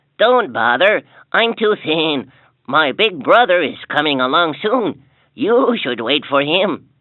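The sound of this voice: An unforced voice reads against a quiet background.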